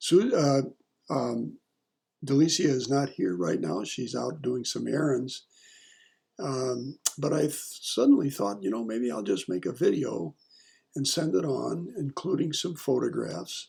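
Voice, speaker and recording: A man with a medium pitch and a dark, mellow tone speaks fairly slowly with vocal fry, very wide pitch swings and long, frequent pauses. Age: 70s. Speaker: retired family member sending video message. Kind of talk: casual personal video message. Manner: halting, many fillers.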